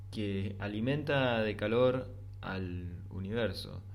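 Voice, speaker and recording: A man with an Argentine accent and a fairly low pitch speaks with fairly even intonation, with audible room echo around him. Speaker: philosophy podcaster. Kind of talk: reflective monologue. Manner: halting.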